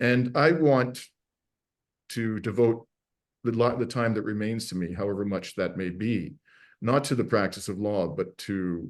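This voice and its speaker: A man with a plain, everyday voice speaks with ordinary pitch variation against a quiet background. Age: 60s. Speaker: podcast host, lawyer and activist. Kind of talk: interview conversation. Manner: many fillers and false starts.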